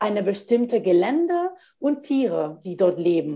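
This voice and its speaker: At a very slow pace, a woman talks in a Spanish accent at a fairly high pitch. Her voice makes very wide pitch swings. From Spain. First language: Spanish (speaking German). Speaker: postdoctoral geographer. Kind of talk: interview. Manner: halting, many fillers.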